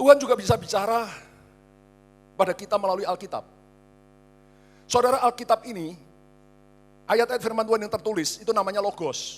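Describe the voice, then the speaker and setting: A man is heard here. His words rush out extremely quickly. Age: 60s. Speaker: pastor. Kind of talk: sermon. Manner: animated.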